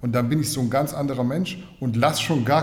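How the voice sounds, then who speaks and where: Fairly even intonation runs through this clip, which carries audible room echo. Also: man. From Swabia, Germany (Kornwestheim). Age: 30s. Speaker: fitness journalist. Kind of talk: casual chat.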